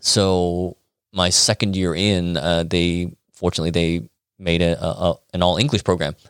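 A Chicago-accented man with a very deep, low pitch speaks at a moderate pace and fairly even intonation, in a very clean recording with a silent background and a dry, close sound with no echo. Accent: Chicago American. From Chicago, US Midwest. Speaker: acupuncturist. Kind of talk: casual interview. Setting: in a clinic.

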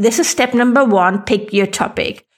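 With a German accent, a woman talks at a moderate pace in a fairly high pitch, her pitch varying in an ordinary way. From Germany. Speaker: podcast host and online business coach. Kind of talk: tutorial, step-by-step podcast advice.

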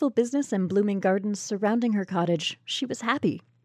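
The voice reads in an unforced way. Its pitch varies in an ordinary way.

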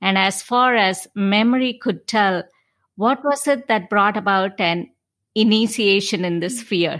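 A woman with a medium pitch and a fairly bright tone talks at a fairly slow pace with ordinary pitch variation.

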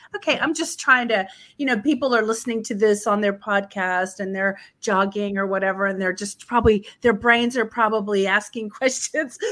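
Speaking at a fairly quick pace, a woman with an ordinary speaking voice has fairly high pitch and ordinary pitch variation. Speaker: travel podcast host. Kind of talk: interview. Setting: video call.

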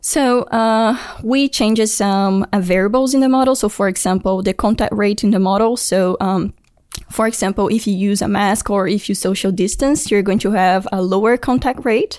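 With a Brazilian accent, a woman speaks at a very even loudness and ordinary pitch variation. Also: medium pitch for a woman, moderate pace. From Brazil (Brasilia). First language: Portuguese. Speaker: engineering graduate student. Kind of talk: interview.

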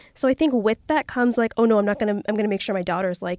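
A woman speaks with a Canadian accent on a very clean recording with a silent background, the sound dry and close with no echo. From Toronto, Canada. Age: 20s. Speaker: podcast guest. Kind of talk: casual chat.

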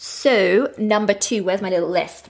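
This very clean recording has a silent background. A woman with an Australian accent speaks at a medium pitch and a moderate pace. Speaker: podcast host and SEO educator. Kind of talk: solo podcast episode, educational talk. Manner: casual, conversational, filler words; friendly, laughs often.

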